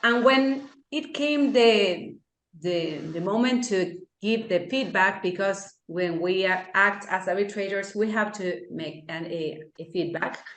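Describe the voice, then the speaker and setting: Speaking very slowly with an Argentine accent, a woman uses lively intonation at a medium pitch, with audible room echo. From Argentina. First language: Spanish. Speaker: law lecturer and arbitrator. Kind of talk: lecture. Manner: halting.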